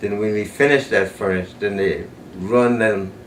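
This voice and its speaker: Fairly low-pitched male speech in an American accent. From South Carolina. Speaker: retired factory supervisor. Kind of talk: oral history interview answer.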